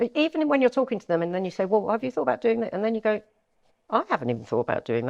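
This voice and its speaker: A woman with a London accent. The sound is dry and close, with no echo. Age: 60s. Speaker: estate agent. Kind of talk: interview.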